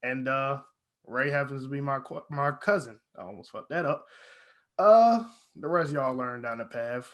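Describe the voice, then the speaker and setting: A man's unremarkable speaking voice, fairly high in pitch, at a moderate pace with lively intonation and big swings in loudness, against a quiet background. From Virginia. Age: young. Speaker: podcast host, college student. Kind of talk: casual chat.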